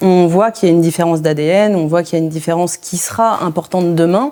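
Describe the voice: Here a woman talks at a fairly quick pace with fairly even intonation. Her voice has a fairly low pitch and a dark, mellow tone.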